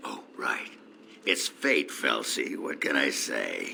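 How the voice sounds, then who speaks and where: A man in a put-on character voice talks at a very slow pace, sounding raspy against clear background noise. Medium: video game. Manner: gruff, crude, boastful.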